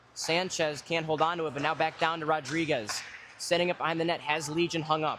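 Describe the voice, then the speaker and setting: Noticeable background noise sits behind the voice. A man speaks at a fairly high pitch and moderate pace. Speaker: hockey play-by-play commentator. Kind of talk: live commentary. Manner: loud.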